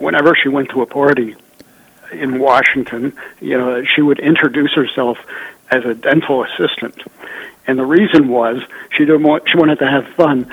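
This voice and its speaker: With noticeable background noise behind him, a man speaks at a moderate pace with long, frequent pauses. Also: medium pitch for a man, ordinary pitch variation. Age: 70s. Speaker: journalist and author. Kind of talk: interview on politics and economy.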